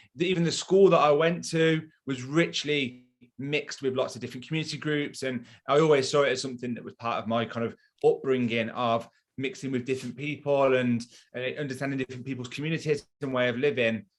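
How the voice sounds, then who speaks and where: A man talks very fast at a medium pitch. His pitch varies in an ordinary way. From Coventry, England. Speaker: marketing business owner. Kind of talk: interview.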